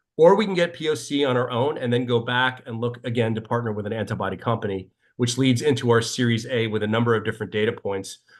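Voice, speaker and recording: Barely pausing, a man rushes along at a very fast pace with ordinary pitch variation. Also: medium pitch for a man. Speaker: biotech startup founder pitching. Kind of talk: startup pitch and Q&A.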